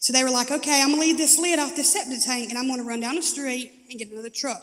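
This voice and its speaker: A loud, animated woman with a Southern US accent, high in pitch with ordinary pitch variation, at a very fast pace. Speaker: recovery testimony speaker. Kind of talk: testimony. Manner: animated storytelling.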